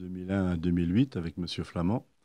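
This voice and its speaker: Dark and mellow, a man's very deep, low voice keeps a fairly even intonation against a quiet background. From northern France (Pas-de-Calais, Arques). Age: 60s. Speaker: local election candidate. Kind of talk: radio interview. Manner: hesitant, with many fillers.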